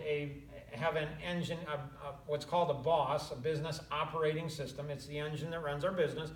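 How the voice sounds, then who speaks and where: Audible room echo surrounds the voice. The intonation is fairly even. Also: man. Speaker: business coach. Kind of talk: casual chat.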